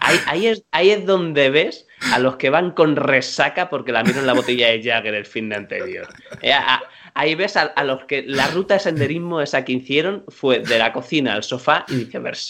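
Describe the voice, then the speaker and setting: A man with a normal speaking voice, pitched fairly high, talks at a moderate pace with lively intonation. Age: 30s. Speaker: podcast co-host. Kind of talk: casual chat.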